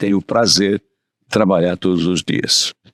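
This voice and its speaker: Dry and close with no echo, the recording catches a man's fairly low voice with vocal fry. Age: 80s+. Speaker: insurance executive. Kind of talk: interview. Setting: studio.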